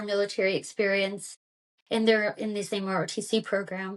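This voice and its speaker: The speaker is a woman. She talks with a Kentucky accent. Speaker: former army intelligence officer. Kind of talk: interview. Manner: casual, many fillers.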